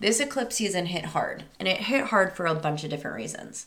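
Pitched in a medium range, a woman speaks in an animated, bright, sharp tone with lively intonation. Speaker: podcast host, psychic medium. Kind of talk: scripted show intro; casual podcast monologue.

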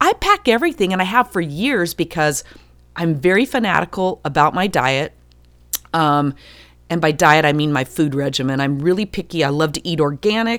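An ordinary speaking voice carries lively intonation. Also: woman, fairly low pitch for a woman, moderate pace. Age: 50s. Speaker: podcast host. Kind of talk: solo podcast monologue.

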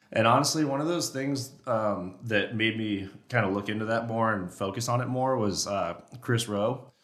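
At a moderate pace, a man talks at a medium pitch with ordinary pitch variation, and audible room echo surrounds him. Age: 20s. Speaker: elk hunter and caller. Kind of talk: casual chat. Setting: echoey podcast studio in a warehouse.

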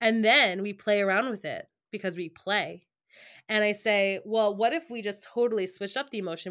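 In a plain, everyday voice, a woman with an American accent speaks at a moderate pace and medium pitch on a very clean recording with a silent background. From US Northeast, Long Island, New York. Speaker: music educator and author. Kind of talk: casual interview.

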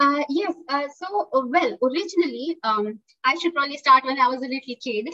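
Projecting her raised voice, a woman speaks at a high pitch and a fairly quick pace with a bright, sharp tone, in a dry, close sound with no echo. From India, Pune (Maharashtra). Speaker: zoo animal behaviour worker. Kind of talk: interview.

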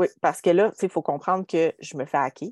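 Recorded with a dry, close sound and no echo, a woman talks in a Quebec accent. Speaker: podcast host and entrepreneur. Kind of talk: casual chat. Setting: video call.

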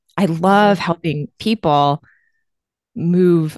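A woman's fairly low-pitched voice, with ordinary pitch variation, sounds dry and close with no echo. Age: 30s. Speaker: nurse anesthetist and weight loss coach. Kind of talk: casual chat.

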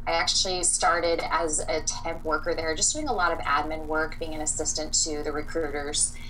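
A woman's very deep, low voice, monotone and flat, at a moderate pace with hardly any pauses, amid noticeable background noise and audible room echo. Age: 30s. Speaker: clean beauty sales rep and boundaries coach. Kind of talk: casual interview chat.

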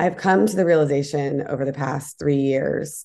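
A woman's very deep, low voice with vocal fry, a dark, mellow tone and a fairly quick pace. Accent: American. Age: 40s. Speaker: entrepreneur and advocate against a tech giant. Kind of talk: interview.

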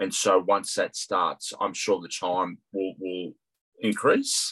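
Recorded dry and close with no echo, a man talks in an Australian accent. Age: 50s. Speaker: CFO and property development student. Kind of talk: interview.

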